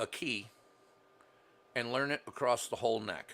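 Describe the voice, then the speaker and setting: This man talks at a moderate pace with a medium pitch and ordinary pitch variation. His tone is bright and sharp. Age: 70s. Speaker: experienced guitarist. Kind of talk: casual chat.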